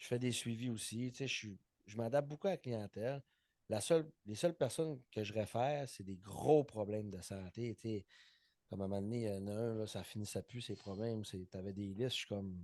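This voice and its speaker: Against a quiet background, a man with a Saguenay accent talks at a fairly quick pace in a fairly low, dark, mellow tone with ordinary pitch variation. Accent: Saguenay Quebec French. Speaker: personal trainer and podcast co-host. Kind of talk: casual chat.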